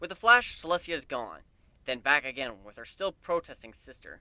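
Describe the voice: A man's medium-pitched voice, bright and sharp in tone, at a moderate pace with big pitch swings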